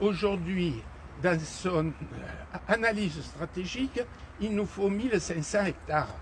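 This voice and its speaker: A man's high-pitched voice at a very slow pace, with ordinary pitch variation, long and frequent pauses, and noticeable background noise. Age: 70s. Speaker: mayor. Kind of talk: unscripted street conversation with residents. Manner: hesitant, many fillers.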